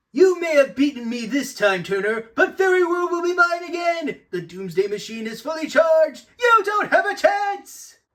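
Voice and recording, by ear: A man does a cartoonish character voice, extremely high-pitched for him. His pitch swings widely and he barely pauses. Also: moderate pace, fairly bright tone.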